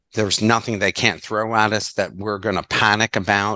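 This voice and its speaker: A man speaks at a moderate pace in a fairly low pitch, his tone bright and sharp, with a dry, close sound with no echo and a quiet background. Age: 60s. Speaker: podcast host and lecturer. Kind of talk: podcast interview.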